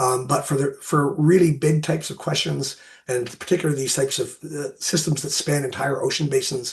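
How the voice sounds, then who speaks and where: At a fairly quick pace, a man talks in a fairly high, somewhat breathy voice with fairly even intonation. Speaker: marine ecologist. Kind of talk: Q&A after a lecture. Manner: halting, many fillers.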